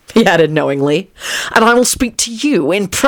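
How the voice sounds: Lively intonation in a natural reading voice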